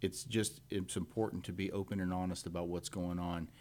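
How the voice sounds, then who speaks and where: In a very clean recording with a silent background, a man with a Texan accent and a very deep, low pitch speaks at a moderate pace with fairly even intonation. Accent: Texas English. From Texas, Montgomery County. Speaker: law enforcement officer, constable candidate. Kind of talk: radio interview. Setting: radio studio.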